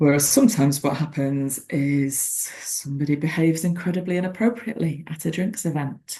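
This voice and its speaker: A woman with a very deep, low pitch and a dark, mellow, somewhat breathy tone speaks at a fairly quick pace with hardly any pauses and ordinary pitch variation. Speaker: former barrister, webinar presenter. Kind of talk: webinar presentation. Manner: gentle, reflective.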